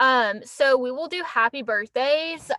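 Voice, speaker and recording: A woman speaks loudly at a high pitch with ordinary pitch variation. The sound is dry and close, with no echo. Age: 20s. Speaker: livestreamer. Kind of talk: casual live stream chat. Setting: in a car. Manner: animated.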